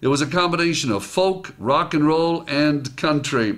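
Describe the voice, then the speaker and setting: Using an ordinary speaking voice, a man with a fairly high pitch talks at a moderate pace with ordinary pitch variation. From immigrant to the US. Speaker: motivational speaker. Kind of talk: reading own article aloud with comments.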